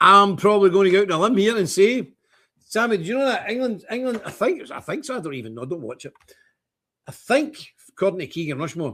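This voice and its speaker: A man with a Scottish accent rattles along at a very fast pace in a high pitch, with very wide pitch swings. His tone is bright, sharp and animated. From Scotland. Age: 60s. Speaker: online talk show host. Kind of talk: casual livestream chat reading viewer comments. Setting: office.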